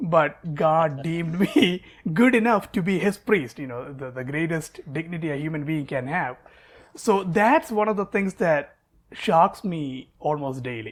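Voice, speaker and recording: On a very clean recording with a silent background, a high-voiced man with a Keralan accent talks at a fairly slow pace with lively intonation. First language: Malayalam. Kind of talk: interview. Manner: hesitant, repeats words.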